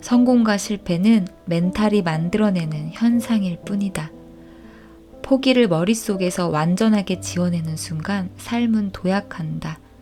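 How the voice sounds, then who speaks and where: A woman speaks very slowly in a calm, soothing tone at a medium pitch with ordinary pitch variation, music playing behind her. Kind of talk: audiobook reading.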